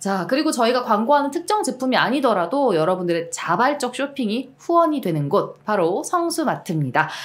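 A woman's high pitch with very wide pitch swings. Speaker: show host; channel co-host reading an ad. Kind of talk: casual chat. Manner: animated. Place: studio. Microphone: studio mic.

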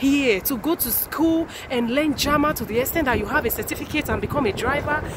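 A woman is heard in a dry sound with no echo, with noticeable background noise. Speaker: vlogger. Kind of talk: casual vlog chat. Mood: excited, proud. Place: station. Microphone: phone near.

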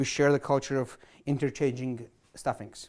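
Moderate pacing from a man in quiet surroundings. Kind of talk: cooking show explanation. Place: kitchen.

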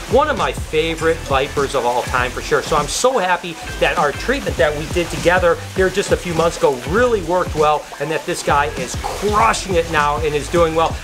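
Over clear music in the background, a man talks at a moderate pace with hardly any pauses. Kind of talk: casual vlog chat. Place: hall. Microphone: phone near.

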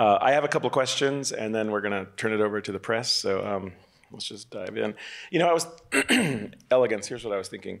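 A man's fairly low pitch with ordinary pitch variation, a very fast pace, and long, frequent pauses. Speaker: film festival director and moderator. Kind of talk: press conference moderation. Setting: stage with panel. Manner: halting, many fillers.

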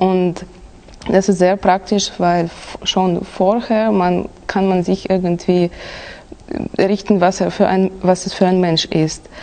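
Over noticeable background noise, a woman with a medium pitch speaks at a very slow pace in a monotone, flat intonation, with long, frequent pauses. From Kazakhstan. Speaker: exam candidate. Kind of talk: oral language exam. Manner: halting.

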